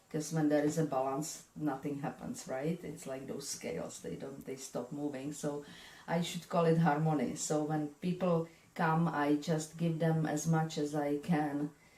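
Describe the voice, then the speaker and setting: A woman with a European accent, very deep, low pitch, dark, mellow tone, fairly even intonation and moderate pace. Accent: European accent, kept. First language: not English. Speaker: spiritual medium and energy healer. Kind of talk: interview. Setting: her office.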